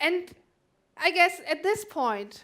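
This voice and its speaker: A woman speaks in a German accent with a bright, sharp tone. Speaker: conference speaker. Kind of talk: conference talk.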